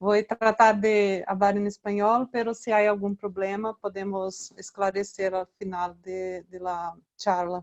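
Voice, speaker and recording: Speaking fairly slowly with hardly any pauses, a woman keeps a flat, monotone delivery at a medium pitch. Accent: Brazilian. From Brazil. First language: Portuguese (speaking Spanish). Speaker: researcher. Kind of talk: lecture.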